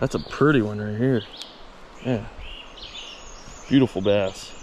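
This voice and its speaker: In a relaxed tone, a man speaks fairly slowly at a fairly low pitch with ordinary pitch variation, over noticeable background noise. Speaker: fishing video creator. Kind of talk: casual outdoor vlog narration. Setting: outdoors by a river. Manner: relaxed, casual.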